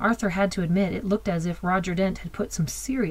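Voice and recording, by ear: The speaker reads aloud in a natural voice with fairly even intonation.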